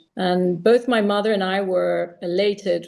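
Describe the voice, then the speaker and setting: A woman's normal speaking voice at a medium pitch. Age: 60s. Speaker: wellness company representative. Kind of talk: interview.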